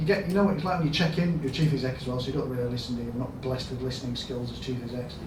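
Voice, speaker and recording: A man speaks with a Yorkshire accent and ordinary pitch variation. Audible room echo and noticeable background noise fill the recording. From Yorkshire, northern England. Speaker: hospital chief executive. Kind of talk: conference talk. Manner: conversational, anecdotal.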